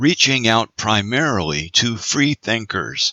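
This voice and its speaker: Vocal fry runs through this man's medium-pitched voice. He speaks at a very slow pace with very wide pitch swings. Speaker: audiobook narrator, voice actor. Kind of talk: audiobook narration.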